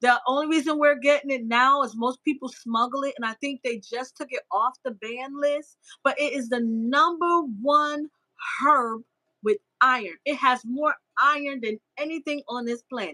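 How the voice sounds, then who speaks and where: With a raised, projected voice, a woman speaks at a high pitch in a bright, sharp, animated tone, with ordinary pitch variation and a dry, close sound with no echo. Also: moderate pace. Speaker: gardening and herbalism livestreamer. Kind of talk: live stream chat. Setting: live stream.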